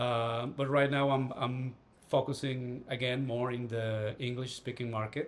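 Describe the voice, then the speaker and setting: Speaking fairly slowly in a Spanish accent, a man keeps his intonation fairly even. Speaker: writer and astral projection teacher. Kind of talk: casual interview chat.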